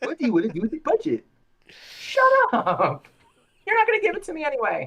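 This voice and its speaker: Someone performs a put-on character voice pitched high. The delivery runs fairly quickly. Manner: scatterbrained, bossy, snapping.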